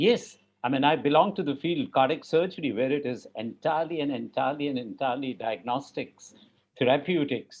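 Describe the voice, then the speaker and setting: This man has a fairly high pitch, ordinary pitch variation and an ordinary speaking voice. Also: fairly quick pace. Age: 60s. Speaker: cardiac surgeon. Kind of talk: panel discussion.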